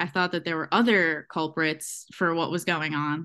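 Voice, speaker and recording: Against a quiet background, a woman speaks at a moderate pace with fairly low pitch. Hers is an unremarkable speaking voice. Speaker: host's best friend. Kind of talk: casual chat.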